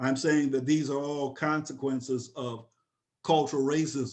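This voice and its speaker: Against a quiet background, a man with a plain, everyday voice speaks fairly slowly at a fairly high pitch. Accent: American. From upstate New York. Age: 60s. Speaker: professor. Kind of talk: webinar lecture.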